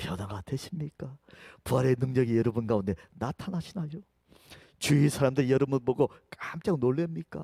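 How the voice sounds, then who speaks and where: The voice is somewhat breathy with a dark, mellow tone and lively intonation, broken by long, frequent pauses in a dry, close sound with no echo. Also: man. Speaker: pastor. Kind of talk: sermon.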